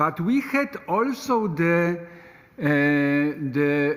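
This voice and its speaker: A man talks with a Polish accent and lively intonation. His pitch sits fairly high. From Poland. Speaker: politician. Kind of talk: panel discussion. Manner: halting, many hesitations.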